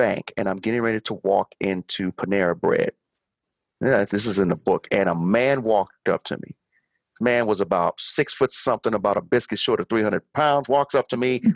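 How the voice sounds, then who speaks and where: Over a quiet background, a man with an American accent and an unremarkable speaking voice talks at a moderate pace and a medium pitch with lively intonation, in a dry, close sound with no echo. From Chicago, Illinois. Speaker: motivational speaker and author. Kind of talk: casual interview chat.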